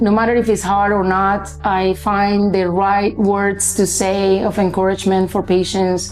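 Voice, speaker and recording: Over music in the background, a woman with a medium-pitched voice and a Spanish accent speaks at a fairly slow pace with hardly any pauses and very even loudness. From Colombia. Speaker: obstetrician-gynecologist. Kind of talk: interview testimony. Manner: hesitant, with fillers.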